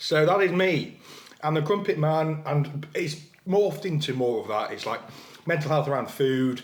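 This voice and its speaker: A man with an English accent, fairly high pitch, ordinary pitch variation and a moderate pace, with noticeable background noise and audible room echo. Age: 30s. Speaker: fitness influencer. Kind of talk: casual chat. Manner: mouth full.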